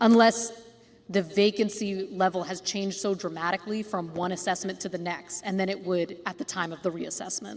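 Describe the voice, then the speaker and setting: A woman speaks at a medium pitch and a fairly quick pace, her intonation fairly even, with noticeable background noise behind her. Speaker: housing cooperative advisor. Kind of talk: community meeting Q&A. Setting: school cafeteria meeting.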